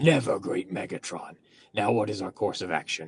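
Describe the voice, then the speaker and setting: Doing a put-on character voice, a man growls at a fairly low pitch with lively intonation and a moderate pace. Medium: fan dub. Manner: sly, obsequious.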